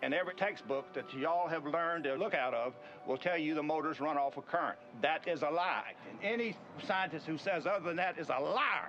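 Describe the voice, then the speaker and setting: Fairly quick, fairly high-pitched speech from a man over noticeable background noise. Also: ordinary pitch variation. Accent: Southern US. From US South, Mississippi. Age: 70s. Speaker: inventor. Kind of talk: demonstration talk. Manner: forceful.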